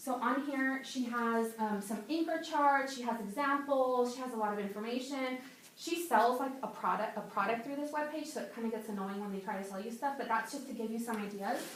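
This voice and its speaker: Fairly quick speech with hardly any pauses and ordinary pitch variation, plus audible room echo and noticeable background noise. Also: woman, high pitch for a woman. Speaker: second grade teacher. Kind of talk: workshop presentation. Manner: fast.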